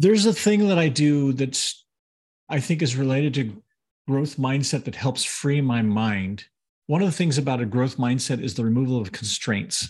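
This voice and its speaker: A man's somewhat breathy voice at medium pitch and moderate pace, over a quiet background. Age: 50s. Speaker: podcast co-host. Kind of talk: casual chat.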